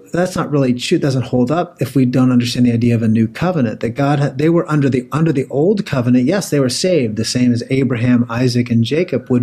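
A man with an American accent at medium pitch, very fast with hardly any pauses, very even in loudness, ordinary pitch variation, noticeable background noise. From Pennsylvania. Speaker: theology professor. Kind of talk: podcast interview.

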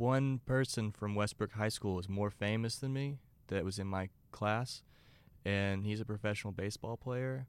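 A man with a fairly low pitch talks in an American accent, using ordinary pitch variation. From Texas (Beaumont, near Louisiana border). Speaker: rock guitarist. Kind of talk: casual chat.

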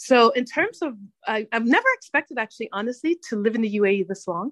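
A woman with an American accent speaks at a fairly quick pace in a fairly high pitch, her voice making very wide pitch swings. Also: dry, close sound with no echo. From Hartford, Connecticut, US. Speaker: podcast host, guest. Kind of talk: interview.

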